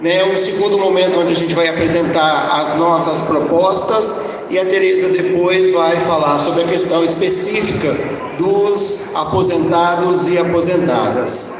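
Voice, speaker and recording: A man with a high pitch speaks fairly slowly with fairly even intonation. Noticeable background noise and audible room echo are present. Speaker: union speaker on panel. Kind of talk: conference panel talk. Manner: soft-spoken.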